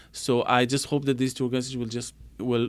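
Delivery is very fast. The speaker is a man with a medium pitch. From Israel. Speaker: diplomat. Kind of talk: interview.

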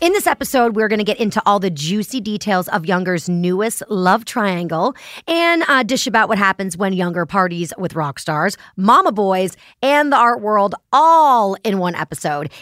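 Very wide pitch swings and an animated tone from a woman at a moderate pace, dry and close with no echo. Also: very clean recording, silent background. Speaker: podcast host. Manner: animated, jokey.

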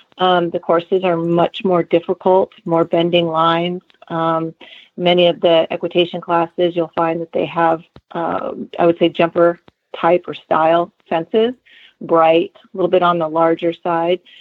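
In a fairly low voice, a woman speaks at a moderate pace with monotone, flat intonation. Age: 40s. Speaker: amateur horse show rider. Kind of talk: interview.

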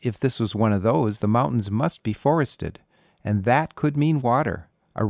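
An unforced reading voice sounds out with a quiet background behind it.

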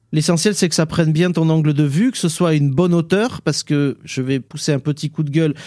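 Dry and close with no echo, this dark, mellow voice keeps a very even loudness, ordinary pitch variation and hardly any pauses. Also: man, fairly high pitch for a man, fairly quick pace. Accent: southwestern French. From southwestern France (Basque area). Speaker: podcast co-host. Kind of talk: casual chat.

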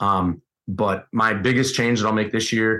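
Fairly low male voice, monotone and flat in intonation, at a moderate pace over a quiet background. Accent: American. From US Midwest, Wisconsin. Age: 30s. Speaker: high school strength coach and elk hunter. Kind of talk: casual interview chat.

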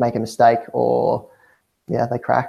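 At a fairly slow pace, a man talks with an Australian accent. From Hunter region, New South Wales, Australia. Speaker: cycling team manager. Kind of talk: interview.

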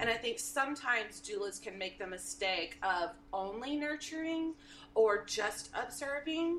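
Talking at a fairly slow pace in a Texan accent, a woman uses a fairly high voice with very wide pitch swings. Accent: Texan American. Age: 50s. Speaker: birth doula. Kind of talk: casual interview.

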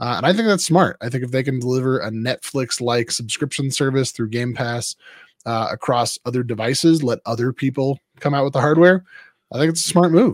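A man with a plain, everyday voice talks at a fairly quick pace and medium pitch with ordinary pitch variation, the sound dry and close with no echo. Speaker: pastor and co-host. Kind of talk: casual chat.

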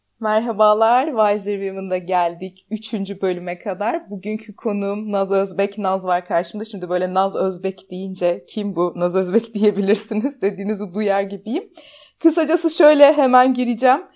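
At a moderate pace and medium pitch, a woman talks with ordinary pitch variation and hardly any pauses. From Turkey, Ankara. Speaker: podcast host. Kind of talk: interview.

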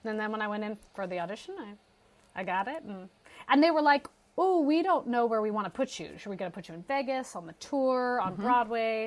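A woman with a plain, everyday voice talks at a fairly quick pace and a fairly high pitch, her intonation lively and her loudness swinging widely. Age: 40s. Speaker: musical theater actress. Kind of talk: casual chat.

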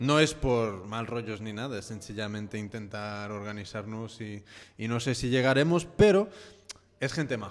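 Speaking at a moderate pace, a man uses a medium pitch with ordinary pitch variation and big swings in loudness. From California, US. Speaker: podcast host. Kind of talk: casual chat. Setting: studio. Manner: halting.

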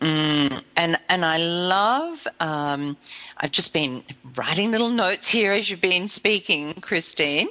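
Speaking at a very slow pace with an Australian accent, a woman uses lively intonation in a fairly low pitch. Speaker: radio host. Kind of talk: casual chat.

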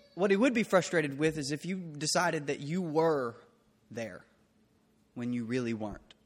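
Music runs in the background as a man with a fairly high pitch speaks at a moderate pace, his intonation lively and broken by long, frequent pauses. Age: 30s. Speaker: pastor. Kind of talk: sermon. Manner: halting.

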